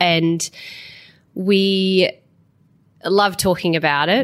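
The recording is very clean, with a silent background. In it, a woman speaks with an Australian accent. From South Australia. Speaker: farmer. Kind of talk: interview.

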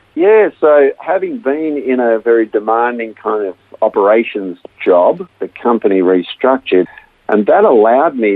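A man with an Australian accent speaks at a medium pitch and a moderate pace. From Australia (Melbourne). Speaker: counselor, former engineer. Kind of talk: interview testimony.

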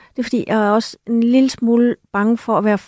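In a very clean recording with a silent background and a dry, close sound with no echo, a woman with a plain, everyday voice and a fairly high pitch speaks at a moderate pace. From Denmark. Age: 50s. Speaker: author and journalist. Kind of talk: radio discussion. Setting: studio.

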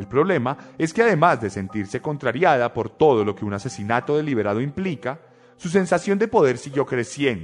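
The pace is moderate. The pitch makes very wide swings. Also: man. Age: 20s. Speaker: podcast host. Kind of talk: true crime narration.

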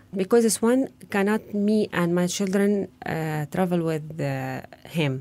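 A woman's dark, mellow voice with an Arabic accent, medium in pitch with ordinary pitch variation, at a very slow pace. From Gaza, Palestine. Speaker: refugee home chef. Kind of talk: testimony. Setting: studio. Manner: halting.

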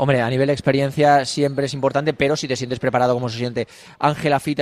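A man talks at a very fast pace in a monotone with flat intonation, his pitch medium. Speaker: sports radio host. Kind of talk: live radio show. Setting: outdoors outside club offices.

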